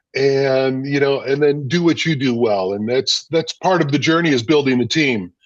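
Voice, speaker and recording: A man with a plain, everyday voice keeps a moderate pace, and his pitch varies in an ordinary way. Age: 60s. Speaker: food business owner. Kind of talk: interview conversation.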